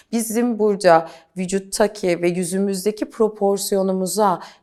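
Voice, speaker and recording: Her pitch varies in an ordinary way as the woman talks at a moderate pace. She has an unremarkable speaking voice. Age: 40s. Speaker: beauty coach. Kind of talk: interview.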